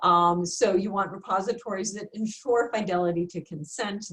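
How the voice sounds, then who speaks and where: This is a plain, everyday voice at a moderate pace with fairly even intonation. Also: woman. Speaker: research administrator presenting a seminar. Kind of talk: webinar presentation. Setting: virtual seminar.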